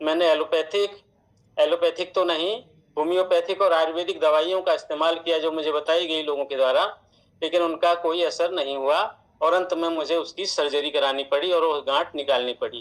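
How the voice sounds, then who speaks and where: A man's high voice with fairly even intonation. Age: 60s. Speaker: product user sharing testimonial in distributor meeting. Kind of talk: testimony. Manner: formal.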